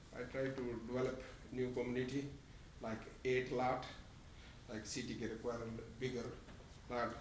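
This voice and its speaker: Amid noticeable background noise and audible room echo, a man with a non-native accent speaks at medium pitch and a moderate pace, monotone and flat, with long, frequent pauses. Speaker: property developer applicant. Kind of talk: public comment. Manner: halting.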